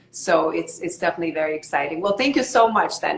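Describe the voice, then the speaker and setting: Against noticeable background noise, a woman moves at a fairly quick pace, her pitch varying in an ordinary way. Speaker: online show host. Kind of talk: casual interview. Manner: fast.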